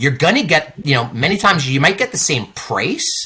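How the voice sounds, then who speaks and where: Bright, sharp tone at a moderate pace, with an American accent. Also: man. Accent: New York, comes in and out. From New York. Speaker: cruise line sales manager. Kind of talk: interview. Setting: on a cruise ship.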